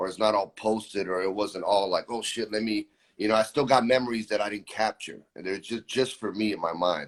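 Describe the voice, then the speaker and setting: A man with an American accent speaks at a fairly quick pace in a fairly low pitch. He has an unremarkable speaking voice with ordinary pitch variation. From Florida, Brazilian family. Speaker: musician. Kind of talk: casual chat.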